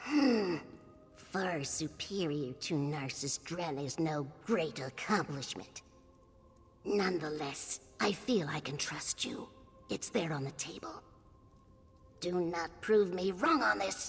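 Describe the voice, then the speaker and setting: A put-on character voice at a middle pitch moves at a fairly slow pace with long, frequent pauses while music plays clearly in the background. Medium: video game. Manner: stern, dry, disdainful.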